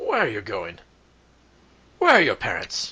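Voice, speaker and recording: Using a put-on character voice, a man talks at a moderate pace, sounding gruff and raspy. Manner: stern, questioning.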